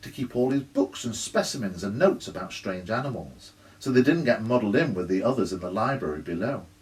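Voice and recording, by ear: Lively-toned reading aloud in a natural voice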